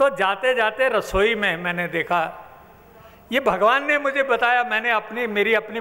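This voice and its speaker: The speaker is male. His intonation shows ordinary pitch variation. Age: 80s+. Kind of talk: religious discourse to assembly.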